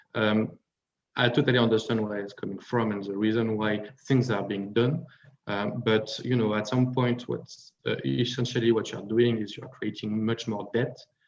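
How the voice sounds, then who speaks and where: Speaking at a moderate pace, a man with a French accent keeps a medium pitch and fairly even intonation. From France. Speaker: panel speaker on finance. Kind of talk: panel discussion. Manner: hesitant with many fillers.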